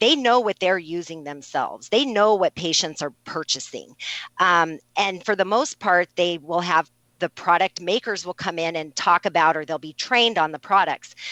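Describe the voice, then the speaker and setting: A woman's fairly low voice with a bright, sharp tone and ordinary pitch variation. The sound is dry and close, with no echo. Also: moderate pace, quiet background. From New Mexico. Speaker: registered nurse. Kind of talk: interview. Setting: radio interview.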